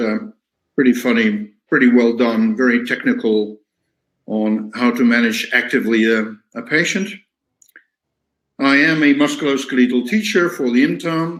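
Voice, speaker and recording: The speech moves at a moderate pace with long, frequent pauses and ordinary pitch variation. Audible room echo is present. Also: man. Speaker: physiotherapy teacher. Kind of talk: lecture. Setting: webinar. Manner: halting.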